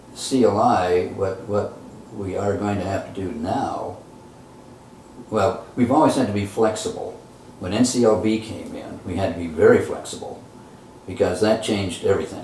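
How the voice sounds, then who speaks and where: Moderate pace, long and frequent pauses, and audible room echo. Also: man. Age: 70s. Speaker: retired professor and education nonprofit founder. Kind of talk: interview. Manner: halting.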